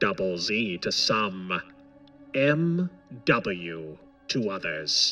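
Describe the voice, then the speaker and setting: A man speaks quietly in a put-on character voice, fairly low in pitch, with lively intonation. He goes very slowly with long, frequent pauses while clear music plays in the background. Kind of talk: pulp audiobook character voice. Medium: read story. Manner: quiet, measured, commanding.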